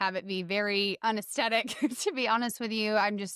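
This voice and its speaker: A woman with a Southern US accent, animated in tone, fairly high in pitch, with ordinary pitch variation, at a moderate pace, in a dry, close sound with no echo. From US South. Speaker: health coach. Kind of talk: podcast interview.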